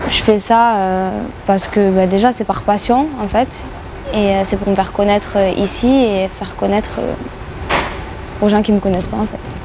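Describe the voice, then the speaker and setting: A woman speaks at medium pitch with fairly even intonation as noticeable background noise runs underneath. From southern France, Béziers. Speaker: rapper and YouTuber. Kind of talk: radio interview. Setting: club venue with radio mic. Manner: many hesitations (euh).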